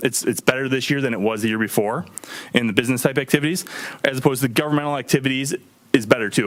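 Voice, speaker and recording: Here a man talks at a very fast pace. His pitch is medium with ordinary variation. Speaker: auditor presenting to town board. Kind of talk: financial report presentation. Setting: township board meeting. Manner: frequent filler ums.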